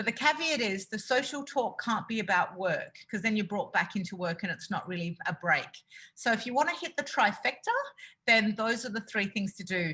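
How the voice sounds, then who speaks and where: A woman's fairly high-pitched voice with lively intonation. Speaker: resilience coach. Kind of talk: webinar presentation. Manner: fast.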